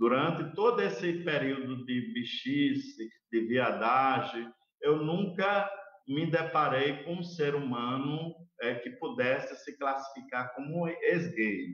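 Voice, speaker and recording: Speaking very slowly, a man uses a fairly high pitch and lively intonation. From Brazil, interior of Alagoas. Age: 40s. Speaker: LGBT activist. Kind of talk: live panel debate. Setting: online live stream.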